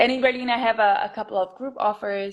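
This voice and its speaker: A woman speaks with a Portuguese accent. The background is quiet. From Brazil. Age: 30s. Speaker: movement teacher. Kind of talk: casual chat. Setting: video call, living room. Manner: halting.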